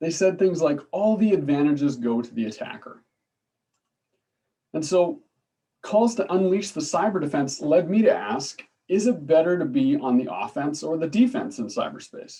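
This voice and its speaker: Speaking with a slight Canadian accent, a man with a high pitch and dark, mellow tone swings his pitch very widely at a moderate pace. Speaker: political science professor. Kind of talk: lecture. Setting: video call. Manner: hesitant, many fillers.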